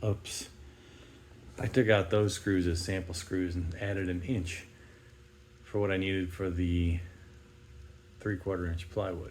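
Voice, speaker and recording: Audible room echo surrounds a man's very deep, low voice, somewhat breathy and monotone. He speaks at a fairly slow pace. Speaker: DIY video maker. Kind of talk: casual tutorial narration.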